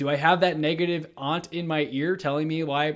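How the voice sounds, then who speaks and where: Fairly even intonation in an unremarkable speaking voice, fairly high-pitched for a man. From Texas, Houston. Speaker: real estate agent and podcast host. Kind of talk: interview. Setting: video call.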